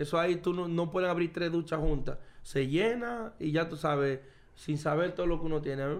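This is a man with a high pitch. He speaks at a moderate pace. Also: ordinary pitch variation. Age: 30s. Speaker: professional baseball player. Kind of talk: casual chat. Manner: animated.

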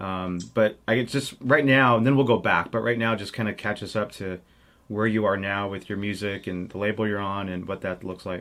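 At a moderate pace, a man speaks in a plain, everyday voice, fairly low-pitched with fairly even intonation. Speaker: podcast host. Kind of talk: casual interview.

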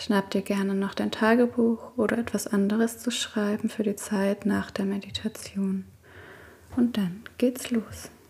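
In a calm, soothing tone, a woman speaks at a fairly slow pace and a medium pitch. Her intonation is monotone and flat, with noticeable background noise. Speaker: podcast host and meditation guide. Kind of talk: guided meditation. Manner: slow, soft-spoken, calm and soothing, with long pauses; gentle, intimate, addressing listener as 'du'.

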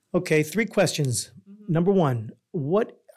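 A man's high-pitched voice in a New York accent, moderately paced with lively intonation. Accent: New York American. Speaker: podcast co-host. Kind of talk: casual chat.

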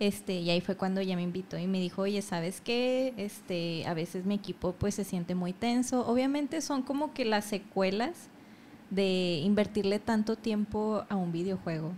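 This is an unremarkable speaking voice with ordinary pitch variation, delivered at a moderate pace. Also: woman. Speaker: podcast host. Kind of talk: casual chat.

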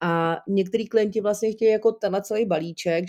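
Against a very clean recording with a silent background, a woman talks at a fairly quick pace in a dark, mellow tone, the sound dry and close with no echo. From Czechia, Jablonec nad Nisou. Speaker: career coach. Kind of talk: interview. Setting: recording on a Liberec to Prague link.

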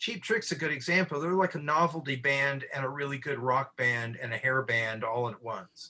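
A man with a fairly high pitch, a bright, sharp tone and lively intonation. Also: moderate pace. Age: old. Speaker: comic book artist. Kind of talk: casual chat.

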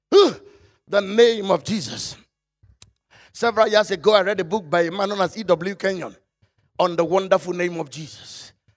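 High-pitched man with an animated tone and ordinary pitch variation, at a moderate pace with long, frequent pauses. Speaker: pastor. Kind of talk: sermon. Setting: church.

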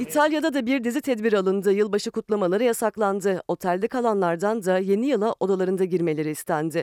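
Words pour out very fast, with hardly any pauses between them. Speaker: news reporter. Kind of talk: news reading.

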